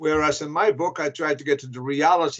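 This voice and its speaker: Here a man speaks with a Flemish accent. His pitch is fairly high and his pace fairly slow. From Belgium (Flanders). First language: Flemish (Dutch). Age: old. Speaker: historian and author. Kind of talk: interview.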